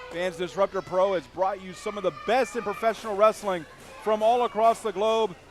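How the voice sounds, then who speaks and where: A high-pitched man at a moderate pace, with noticeable background noise. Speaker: wrestling commentator. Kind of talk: live pro wrestling commentary.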